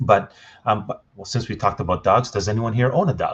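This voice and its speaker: A man's somewhat breathy voice is heard with a quiet background. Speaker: digital marketing expert, webinar presenter. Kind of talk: webinar presentation. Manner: fast.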